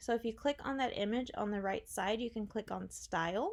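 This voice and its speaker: In a very clean recording with a silent background, a woman talks at a fairly high pitch with ordinary pitch variation. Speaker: web theme designer. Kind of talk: tutorial. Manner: fast; casual.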